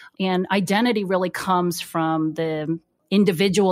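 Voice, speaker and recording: In a very clean recording with a silent background, a woman with an American accent has an unremarkable speaking voice, a fairly low pitch, fairly even intonation and a moderate pace. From United States. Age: 30s. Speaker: licensed therapist. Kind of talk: interview.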